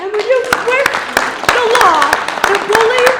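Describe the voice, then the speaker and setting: In a raised, projected voice with an American accent, a man talks at a moderate pace amid noticeable background noise and audible room echo. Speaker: retired Marine and business owner. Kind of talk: public hearing comment. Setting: public hearing room with microphone.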